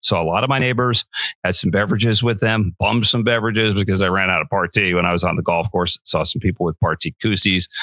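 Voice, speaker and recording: Very fast, a man speaks in a bright, sharp tone at a fairly low pitch with ordinary pitch variation, in a dry, close sound with no echo. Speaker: podcast host. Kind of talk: podcast talk.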